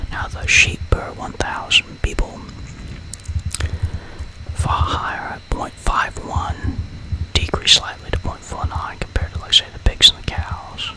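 Someone whispers at a moderate pace with long, frequent pauses, over noticeable background noise. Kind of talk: ASMR whispered educational narration of statistics. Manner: whispered, soft-spoken.

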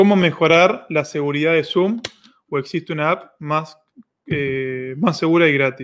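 Speaking with a Rioplatense accent, a man uses a fairly high pitch with ordinary pitch variation at a fairly slow pace. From Argentina. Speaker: online course platform host. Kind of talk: live Q&A stream. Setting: livestream. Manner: animated. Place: home room. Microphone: webcam.

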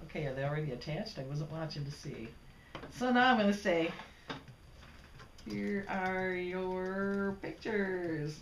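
A woman's fairly low voice at a fairly slow pace with long, frequent pauses, audible room echo and light background noise. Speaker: computer demonstrator. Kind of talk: casual talk. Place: home room.

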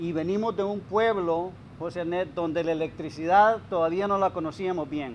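A high-pitched man's voice with ordinary pitch variation and light background noise. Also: moderate pace. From Honduras, Copán; Honduras. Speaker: coffee grower and retired executive. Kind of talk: interview. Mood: reflective, personal life story. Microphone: lapel.

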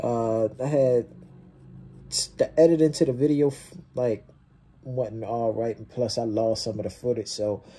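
Over music in the background, a man talks at a fairly slow pace with long, frequent pauses and a relaxed tone. His loudness swings widely while his pitch varies in an ordinary way. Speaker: YouTube reaction creator. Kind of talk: casual talk to camera. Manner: relaxed, casual. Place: home room. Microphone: phone near.

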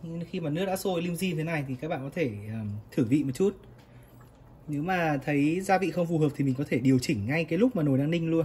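The speech moves at a fast pace with ordinary pitch variation. Its tone is dark and mellow.

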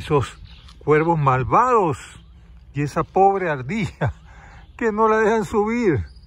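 In a dry sound with no echo, a man's calm, warm voice shows very wide pitch swings. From Panama. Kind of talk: testimonial story told to camera, reflective, ending in a blessing and a moral. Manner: calm, unhurried, warm storyteller's delivery; indignant and dramatic in the story, then gentle and moralizing. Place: garden. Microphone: phone near.

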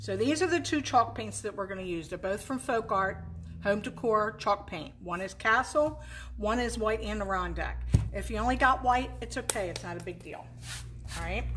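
Over noticeable background noise, a woman talks at a moderate pace with big swings in loudness. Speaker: painting teacher. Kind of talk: tutorial. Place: workshop.

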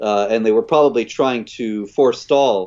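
A man's normal speaking voice at medium pitch, with an American accent, a fairly quick pace, and a quiet background. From US South, South Carolina. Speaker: author and critic of Islam; guest commentator. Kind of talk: casual livestream discussion. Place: home room. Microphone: earbuds.

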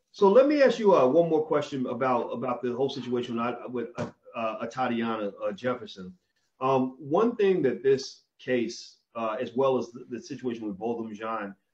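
A man at a moderate pace, with ordinary pitch variation and big swings in loudness, against a quiet background. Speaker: interview host. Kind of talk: interview host talk. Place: home room. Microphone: video call.

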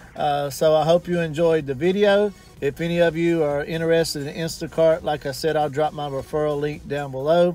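Over faint background music, a man talks in a flat monotone, the sound dry with no echo. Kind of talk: casual vlog chat. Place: car. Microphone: phone near.

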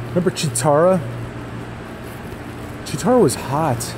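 Noticeable background noise fills the clip. A man speaks at a moderate pace over it. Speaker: vlogger. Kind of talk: casual vlog chat. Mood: amused, joking. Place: garage. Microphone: phone near.

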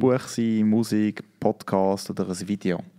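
Against a quiet background, a man with a Swiss accent talks in a fairly low pitch with a dark, mellow tone. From Switzerland. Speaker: podcast host. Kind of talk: casual interview. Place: studio. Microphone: studio mic.

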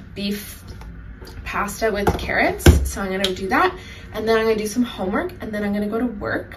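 The voice moves at a fairly quick pace against loud background noise. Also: woman. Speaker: student vlogger. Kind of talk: casual vlog chat. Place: kitchen. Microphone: phone near.

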